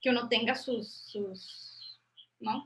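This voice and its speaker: A woman's high-pitched voice has a bright, sharp tone. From Colombia, Popayán. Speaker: university professor, thesis examiner. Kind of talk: academic discussion, thesis defense feedback. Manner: halting, many repetitions and fillers.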